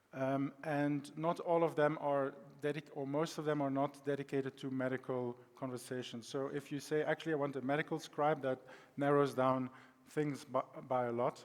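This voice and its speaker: A man in a Belgian accent, fairly high in pitch, monotone and flat in intonation, at a moderate pace. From Belgium. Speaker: data science consultant. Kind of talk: conference presentation. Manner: halting, many fillers.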